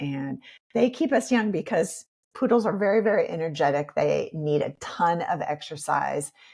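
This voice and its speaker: With an American accent, a woman uses a normal speaking voice, fairly low in pitch, with lively intonation. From Iowa, USA. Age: 50s. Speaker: yoga instructor and life coach. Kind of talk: podcast interview answer.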